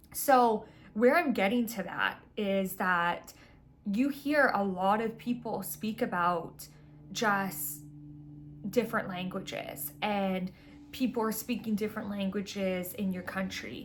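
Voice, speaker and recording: A very slow pace with a somewhat breathy sound. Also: woman, medium pitch for a woman, ordinary pitch variation. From Vancouver, Canada. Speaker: spiritual astrology content creator. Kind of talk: casual monologue. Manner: casual, filler-heavy.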